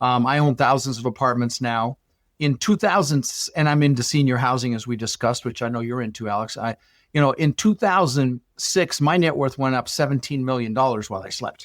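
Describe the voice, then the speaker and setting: A man's medium-pitched voice at a fairly quick pace with ordinary pitch variation, a dry, close sound with no echo, and a very clean recording with a silent background. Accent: General American. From Colorado, US (Dutch-born). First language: Dutch. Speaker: real estate investor. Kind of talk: podcast interview. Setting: podcast. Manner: animated.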